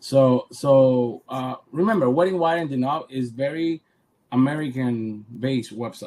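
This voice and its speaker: Speaking at a fairly slow pace, a man with a medium pitch and a dark, mellow tone uses ordinary pitch variation. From Cuba. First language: Spanish. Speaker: photographer. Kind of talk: interview. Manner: repeats words, halting.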